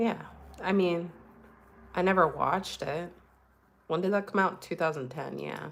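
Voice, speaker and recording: Her voice showing vocal fry, a woman with a fairly low pitch speaks at a moderate pace, with long, frequent pauses. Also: ordinary pitch variation. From Afro-Caribbean heritage. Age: 30s. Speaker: streamer. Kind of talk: casual chat. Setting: livestream. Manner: halting. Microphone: new mic.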